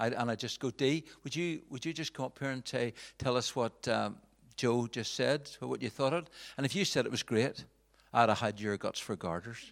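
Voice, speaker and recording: On a very clean recording with a silent background, the speaker has a Northern Irish accent and ordinary pitch variation. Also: man, medium pitch for a man, moderate pace. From Northern Ireland, Belfast. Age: 40s. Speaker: pastor. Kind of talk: talk to church audience. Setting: stage with audience. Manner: halting.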